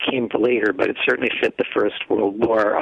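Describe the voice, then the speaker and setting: With an American accent, the speaker keeps a moderate pace as noticeable background noise continues. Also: man. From downstate Illinois. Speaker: novelist and playwright. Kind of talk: radio interview.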